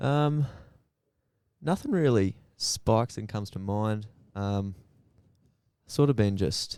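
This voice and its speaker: A man with a dark, mellow tone speaks very slowly in a fairly low pitch, leaving long, frequent pauses. His intonation is lively, and the recording is very clean with a silent background. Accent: Australian. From rural Queensland, Australia (near Rockhampton). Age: 20s. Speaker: psychology student and farm labourer. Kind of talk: casual interview chat.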